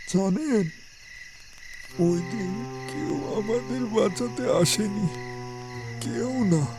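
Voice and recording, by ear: A cartoonish character voice at a middle pitch, very slow pace, with clear music in the background.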